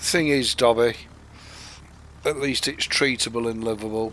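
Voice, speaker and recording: Speaking very slowly with a northern English accent, a man uses a medium pitch and ordinary pitch variation. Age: 60s. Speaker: gaming streamer. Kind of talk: live gameplay stream chat. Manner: casual, hesitant with fillers.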